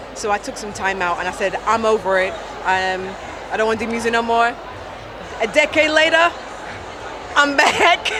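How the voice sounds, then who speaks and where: A fairly high-pitched woman with an American accent, lively intonation and long, frequent pauses at a moderate pace, amid audible room echo and noticeable background noise. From UK. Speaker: gospel singer. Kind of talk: casual interview. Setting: trade show stand.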